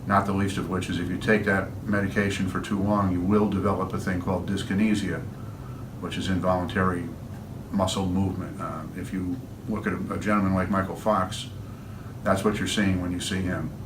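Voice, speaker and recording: With an American accent, the speaker talks at a fairly quick pace in a monotone, flat way. Room echo is audible. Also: man, very deep, low pitch for a man. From upstate New York. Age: 60s. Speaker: patient and musician. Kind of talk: testimony. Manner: halting.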